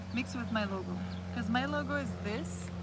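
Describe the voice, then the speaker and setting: A woman talks over noticeable background noise. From Montreal, Canada. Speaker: vlogger / livestreamer. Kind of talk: casual talk to camera, chill hangout vlog. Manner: soft-spoken, relaxed.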